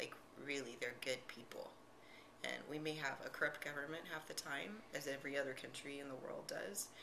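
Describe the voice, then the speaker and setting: A woman with an American accent talks at a moderate pace in a very deep, low voice with fairly even intonation. Audible room echo and noticeable background noise are present. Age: 30s. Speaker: teacher. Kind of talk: interview. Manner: halting.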